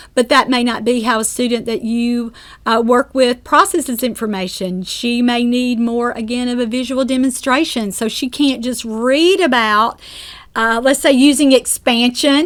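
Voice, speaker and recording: On a very clean recording with a silent background, a woman with a Southern US accent speaks at a high pitch with ordinary pitch variation. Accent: Southern drawl. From US South. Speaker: speech-language pathologist and course instructor. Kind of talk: lecture. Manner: conversational with frequent fillers.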